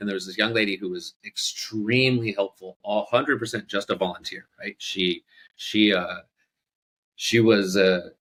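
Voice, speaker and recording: A plain, everyday voice: a man with an American accent speaks at a fairly low pitch and moderate pace. The intonation is fairly even, and the sound is dry and close with no echo. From Southern California. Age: 40s. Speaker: bar owner. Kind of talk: casual interview conversation.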